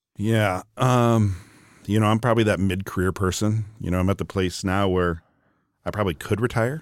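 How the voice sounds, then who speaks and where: Heard in a very clean recording with a silent background, a man uses an ordinary speaking voice at a fairly low pitch, a moderate pace and fairly even intonation. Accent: American. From Wisconsin, US Upper Midwest. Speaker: business executive. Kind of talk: interview conversation. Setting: in person, Atlanta.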